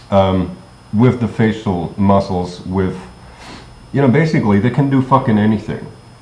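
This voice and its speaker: Amid noticeable background noise, a man with a fairly low pitch talks at a moderate pace with ordinary pitch variation and long, frequent pauses. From Germany. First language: German. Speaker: vlogger. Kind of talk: casual monologue. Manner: halting, many fillers.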